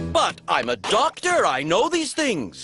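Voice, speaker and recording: A cartoonish character voice at a fairly high pitch goes along at a fairly slow pace over faint music in the background. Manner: upbeat, enthusiastic.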